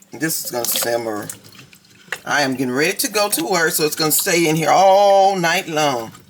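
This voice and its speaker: Amid noticeable background noise, a woman with a very deep, low pitch speaks in an animated tone with lively intonation. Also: moderate pace. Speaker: cooking vlogger. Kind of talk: casual cooking tutorial. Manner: chatty, animated.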